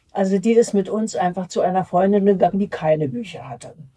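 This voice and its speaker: A woman's voice has a dark, mellow tone. It is also somewhat breathy. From Berlin. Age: 80s+. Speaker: retiree recalling her life. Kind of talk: life-story interview. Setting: nursing home. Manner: halting.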